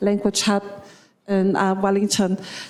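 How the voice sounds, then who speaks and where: At a moderate pace, a woman with a Tokelauan accent speaks over noticeable background noise. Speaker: primary school teacher. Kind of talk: panel introduction.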